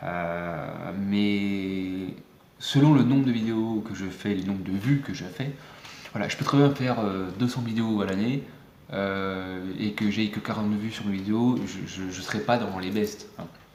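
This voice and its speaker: The room echo is audible around this man. His voice sits fairly low and moves with ordinary pitch variation. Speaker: YouTuber, music maker. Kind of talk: casual vlog talk. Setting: close to camera, home video. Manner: fast; hesitant, many fillers.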